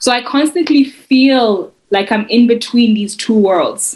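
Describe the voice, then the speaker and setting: Her voice is fairly high-pitched and somewhat breathy, a woman speaking. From South Africa. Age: 30s. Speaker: poet. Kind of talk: interview. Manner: halting, frequent repetitions.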